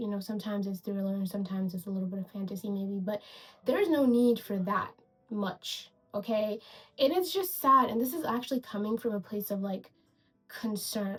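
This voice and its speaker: Music plays in the background as a woman talks at a fairly quick pace. Her pitch is medium, with ordinary pitch variation. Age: 20s. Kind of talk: casual video essay rant to camera. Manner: casual, animated.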